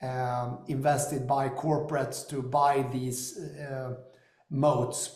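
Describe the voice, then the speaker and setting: Recorded with audible room echo, a man with an American accent speaks in a fairly high pitch with monotone, flat intonation. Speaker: company founder and investor. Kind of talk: business discussion.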